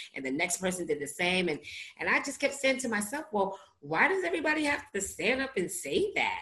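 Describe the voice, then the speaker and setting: Animated in tone, a woman with a New York accent speaks at a fairly quick pace with very wide pitch swings. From US Northeast, Brooklyn, New York. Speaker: author and recovery podcaster. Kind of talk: interview, personal testimony.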